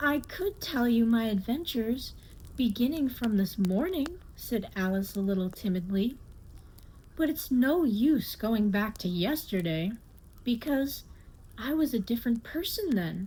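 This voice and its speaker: This woman has a dark, mellow tone at a fairly high pitch. She talks at a fairly slow pace, her pitch swinging very widely. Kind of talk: ASMR audiobook reading, bedtime narration. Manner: soft, gentle, calming.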